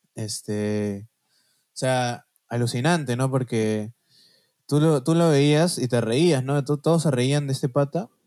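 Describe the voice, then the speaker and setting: In a very clean recording with a silent background, a man with a Peruvian accent speaks at a very slow pace, with very even loudness and a dark, mellow tone. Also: medium pitch for a man, ordinary pitch variation, dry, close sound with no echo. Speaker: podcast co-host. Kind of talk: casual chat.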